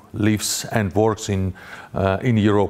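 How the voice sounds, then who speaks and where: Monotone, flat intonation in a Russian accent. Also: man. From Russia (Grozny, Chechnya). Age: 40s. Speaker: journalist. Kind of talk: conference talk. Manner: halting, many fillers.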